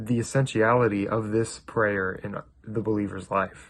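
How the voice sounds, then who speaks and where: A man talks at a fairly slow pace, his pitch medium. The background is quiet. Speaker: youth group speaker. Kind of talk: devotional talk. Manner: hesitant, many fillers.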